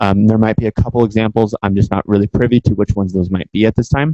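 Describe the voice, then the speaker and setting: A man with an American accent talks at a very fast pace in a fairly low pitch with fairly even intonation. His tone is dark and mellow, and the sound is dry and close with no echo. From San Francisco Bay Area, California. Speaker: guest lecturer. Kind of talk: lecture.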